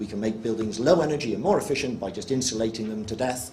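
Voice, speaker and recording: Speaking at a fairly quick pace, a man uses a medium pitch with ordinary pitch variation. There is audible room echo. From UK. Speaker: energy researcher presenting at workshop. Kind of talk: presentation to workshop audience. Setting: workshop room with live audience. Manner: fast.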